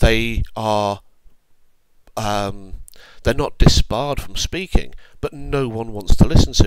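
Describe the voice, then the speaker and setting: Very slow speech in a British accent, with long, frequent pauses, lively intonation and big swings in loudness. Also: man, medium pitch for a man. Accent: British accent, noticeable. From UK. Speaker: online commentator. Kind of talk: opinion monologue. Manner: measured, deliberate.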